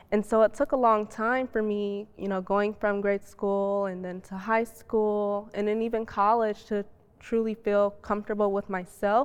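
Delivery comes at a moderate pace in an American accent, with monotone, flat intonation. The background is quiet. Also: woman, medium pitch for a woman. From US Midwest. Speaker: robotics professional, panelist. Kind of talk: panel discussion. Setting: library reading room, filmed.

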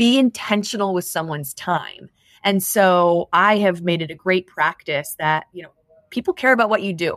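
A woman's plain, everyday voice at medium pitch with an American accent, ordinary pitch variation, a moderate pace and dry, close sound with no echo. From US Midwest (southwest Michigan). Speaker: HR executive. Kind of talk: interview.

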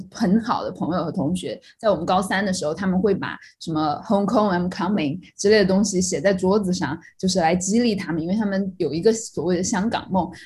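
On a very clean recording with a silent background, a woman talks at a medium pitch with ordinary pitch variation. She sounds somewhat breathy, speaking at a fairly quick pace with hardly any pauses. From Sichuan, China (Yibin; schooled in Chongqing). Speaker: podcast co-host. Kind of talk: casual chat.

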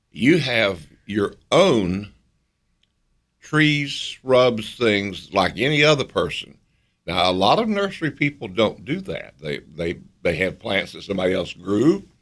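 A man with a Southern US accent talks at a fairly slow pace, his pitch swinging very widely. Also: medium pitch for a man. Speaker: radio co-host. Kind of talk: radio call-in show. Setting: studio.

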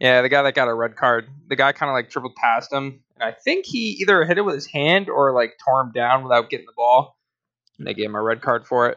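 A man talks at a fairly quick pace at medium pitch in an ordinary speaking voice. His pitch varies in an ordinary way, while his loudness swings widely. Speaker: podcast host. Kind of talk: casual chat.

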